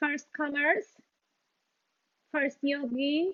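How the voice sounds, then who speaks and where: At a fairly slow pace, a woman with a Polish accent speaks in a high pitch. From Poland. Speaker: yoga instructor. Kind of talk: guided yoga class. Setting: video call. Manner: halting, many fillers.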